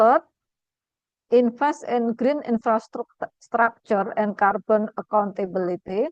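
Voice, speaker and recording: Dry and close with no echo, the recording has a woman speaking very slowly in an Indonesian accent, her fairly high pitch showing ordinary variation. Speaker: academic speaker. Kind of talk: lecture. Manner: halting.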